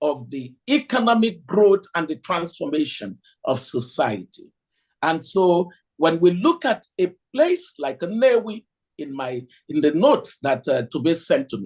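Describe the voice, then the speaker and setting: A man with a Nigerian accent, fairly slow pace, and very wide pitch swings. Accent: Nigerian Igbo English. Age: 60s. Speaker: economist lecturer. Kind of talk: lecture. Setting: hall with audience, streamed on video call.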